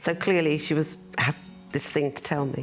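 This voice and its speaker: With an English accent, a woman speaks at a fairly quick pace and a fairly low pitch amid noticeable background noise. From United Kingdom. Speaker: daughter of birth mother. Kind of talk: interview testimony.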